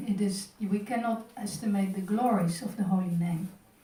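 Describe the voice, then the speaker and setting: A woman's dark, mellow, somewhat breathy voice, fairly slow and fairly even in intonation, with audible room echo. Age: 60s. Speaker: temple class speaker. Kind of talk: religious class.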